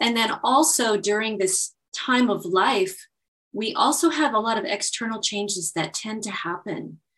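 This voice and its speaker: This woman has a normal speaking voice with a fairly high pitch. She talks at a moderate pace with lively intonation. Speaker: naturopath and belly dance instructor. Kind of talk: interview, explanatory conversation.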